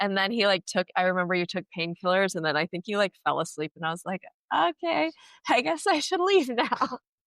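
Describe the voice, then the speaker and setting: A woman of medium pitch speaks at a fairly quick pace with an American accent and lively intonation, in a normal speaking voice. The recording is very clean, with a silent background. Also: dry, close sound with no echo. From United States. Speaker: podcast host, former travel nurse. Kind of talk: casual chat.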